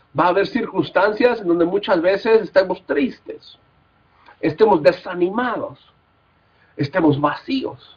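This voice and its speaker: A man with a slight Mexican accent, very wide pitch swings and a moderate pace. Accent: somewhat Mexican. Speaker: Bible college teacher. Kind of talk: lecture. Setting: recorded class without live audience. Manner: halting, with fillers.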